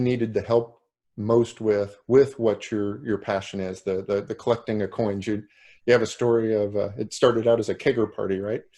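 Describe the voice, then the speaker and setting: A man's medium-pitched voice carries ordinary pitch variation. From Indiana, US Midwest. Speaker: summit host, interviewer. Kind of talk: interview.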